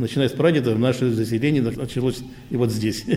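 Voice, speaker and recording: The man's voice has a somewhat breathy quality. His intonation stays fairly even. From Central Asia, then Primorye. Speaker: veterans' council chairman, Korean diaspora elder. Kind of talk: interview. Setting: Korean cultural centre.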